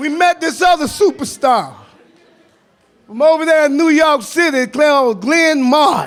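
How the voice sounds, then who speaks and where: Fairly slow, animated speech in an American accent, with ordinary pitch variation. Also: man, extremely high pitch for a man. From US South. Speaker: activist, formerly incarcerated advocate. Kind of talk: panel talk. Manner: animated, storytelling.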